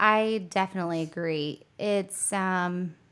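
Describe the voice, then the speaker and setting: A woman with an American accent uses an ordinary speaking voice at medium pitch with fairly even intonation, on a very clean recording with a silent background. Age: 30s. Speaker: financial advisor and entrepreneur. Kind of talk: casual interview.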